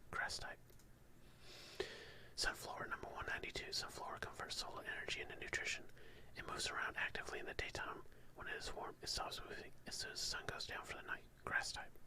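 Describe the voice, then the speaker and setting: Whispering at a very fast pace with long, frequent pauses, a man is heard over noticeable background noise. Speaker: ASMR creator. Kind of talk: ASMR Pokedex reading. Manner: soft-spoken, relaxing.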